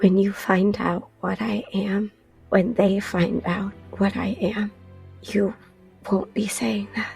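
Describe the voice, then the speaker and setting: A raspy, put-on character voice, female-sounding, at a medium pitch and a fairly slow pace, with music in the background. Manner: ominous, fearful.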